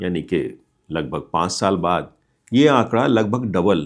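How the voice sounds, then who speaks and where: There is vocal fry in this man's voice, on a very clean recording with a silent background. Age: 60s. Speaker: retiree giving life advice. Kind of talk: motivational talk. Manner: explanatory.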